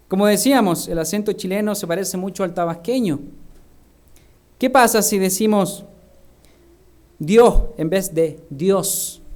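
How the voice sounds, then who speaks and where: A high-pitched male voice at a fairly slow pace, with ordinary pitch variation, long, frequent pauses and audible room echo. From Chile. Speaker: minister. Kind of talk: sermon.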